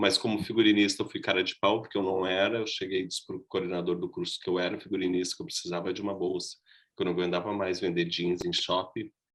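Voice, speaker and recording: Very deep and low in pitch, a man rattles along at a very fast pace with monotone, flat intonation. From southern Brazil, Rio Grande do Sul (Gravataí). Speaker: costume designer and actor teaching a workshop. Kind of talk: online workshop lecture.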